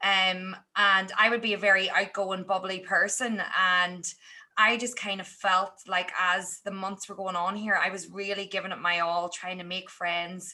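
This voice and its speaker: With an Irish accent, a woman speaks at a medium pitch and a moderate pace. Her tone is bright and sharp, her intonation monotone and flat. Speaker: teacher and podcaster. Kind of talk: podcast interview.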